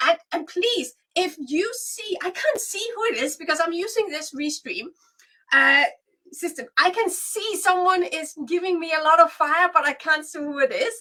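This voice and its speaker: A woman's raised, projected voice at an extremely high pitch, bright and sharp in tone, with lively intonation, big swings in loudness and a fairly slow pace. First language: Danish and Swedish. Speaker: business coach. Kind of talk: webinar training livestream. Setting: livestream.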